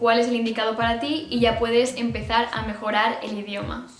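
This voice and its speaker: Audible room echo with light background noise. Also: woman. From Spain. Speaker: YouTuber. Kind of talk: casual talk to camera. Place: home room.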